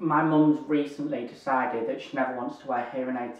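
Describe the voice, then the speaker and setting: Over audible room echo, a man with a northern English accent talks at a fairly quick pace with fairly even intonation. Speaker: YouTuber, hearing aid wearer. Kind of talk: casual Q&A vlog.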